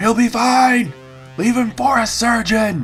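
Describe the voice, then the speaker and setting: With clear music in the background, a man puts on a character voice at an extremely high pitch, speaking fairly slowly. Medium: read story. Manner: commanding, shouting orders.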